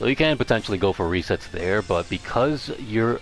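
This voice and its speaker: A man's voice at a moderate pace with ordinary pitch variation, music in the background. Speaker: fighting game player. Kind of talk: livestream game strategy lecture. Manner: casual, rambling.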